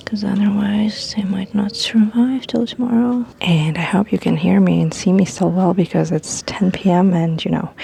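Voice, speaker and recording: Amid noticeable background noise, a soft-spoken woman talks at a moderate pace and medium pitch, with ordinary pitch variation and hardly any pauses. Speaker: lifestyle vlogger. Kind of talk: casual vlog talk to camera. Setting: outdoors on balcony at night. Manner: quiet, talking softly.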